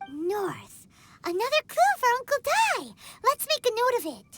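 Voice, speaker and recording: A put-on character voice at an extremely high pitch and a moderate pace. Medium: machinima. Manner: excitable, lively.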